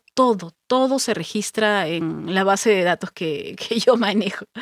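A woman with an unremarkable speaking voice talks at a medium pitch with lively intonation, in a dry, close sound with no echo. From Peru, Pisco (southern coast). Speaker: voice actor and psychologist. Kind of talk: interview conversation.

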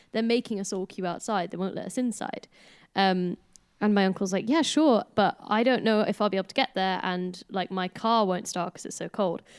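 A woman talks at a fairly quick pace in a normal speaking voice, her pitch medium and its variation ordinary. The sound is dry and close, with no echo. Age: 20s. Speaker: band member, singer. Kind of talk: casual chat among bandmates.

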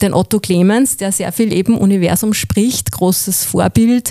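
A woman speaks with a dark, mellow tone. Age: 40s. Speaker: voice-over artist and former radio presenter. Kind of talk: interview.

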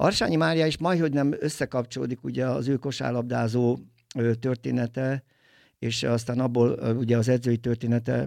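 The recording is very clean, with a silent background. A man speaks at a moderate pace in a medium pitch with ordinary pitch variation. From Tolna county, Hungary. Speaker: film producer and DJ. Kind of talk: casual interview. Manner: halting, many fillers.

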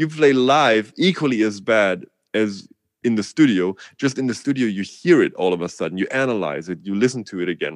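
With a German accent, a man speaks in an animated tone at a medium pitch. His pace is fairly quick, and the background is quiet. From Germany. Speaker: drummer and music educator. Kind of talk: casual interview.

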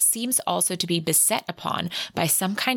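This is an unforced reading voice. The words are read out in it.

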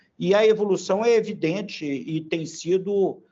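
A man is speaking. He talks at a very slow pace. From Brazil, Belo Horizonte, Minas Gerais. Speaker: industry association president. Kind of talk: interview. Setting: podcast. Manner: halting, many fillers.

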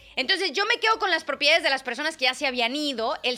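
Over noticeable background noise, a woman talks at a very fast pace in a raised, projected voice, her tone animated and her intonation lively. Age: 30s. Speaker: wellness podcast host. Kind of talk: casual solo monologue.

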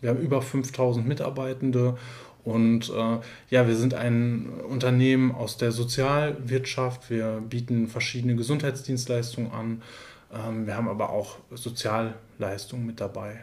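A man speaks at a fairly slow pace in a flat monotone. Audible room echo surrounds his voice. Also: medium pitch for a man. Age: 30s. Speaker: care services manager, trained nurse. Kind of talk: interview. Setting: in person, sitting together.

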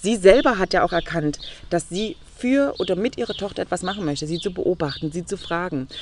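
Speaking at a fairly quick pace, a woman with an unremarkable speaking voice keeps a medium pitch and ordinary pitch variation. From Saxony, Leipzig. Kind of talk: interview. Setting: outdoors in a garden.

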